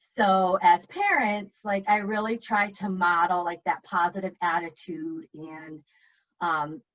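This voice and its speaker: A woman at a medium pitch, with ordinary pitch variation and a fairly slow pace. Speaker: parenting speaker and mother. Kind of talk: panel discussion.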